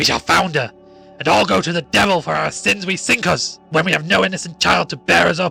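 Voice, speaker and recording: A man uses a put-on character voice, raised and projected and high-pitched, talking at a fairly quick pace over faint music in the background. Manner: raging, terrible.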